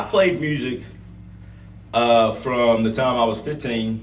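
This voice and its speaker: A man with an American accent at a fairly slow pace and medium pitch, amid audible room echo and noticeable background noise. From US South, Gaston County, North Carolina. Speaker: country singer. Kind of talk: interview.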